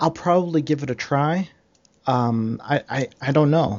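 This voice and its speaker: This is a man with an ordinary speaking voice, fairly high in pitch. He keeps a moderate pace with ordinary pitch variation. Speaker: gamer guest. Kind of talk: casual chat.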